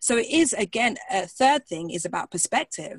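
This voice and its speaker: The speaker has a strong British accent and keeps a moderate pace. The tone is enthusiastic and animated. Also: woman, dry, close sound with no echo. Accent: British English, fairly strong. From England, London. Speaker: pastor, singer and coach. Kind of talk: interview conversation. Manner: enthusiastic, animated.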